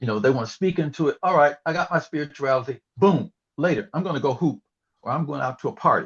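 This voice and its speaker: A somewhat breathy voice at a very fast pace, with a dry, close sound and no echo. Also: man, fairly high pitch for a man, ordinary pitch variation. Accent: American. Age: 70s. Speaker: retired history professor. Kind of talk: interview. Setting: podcast recording. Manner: halting, many fillers.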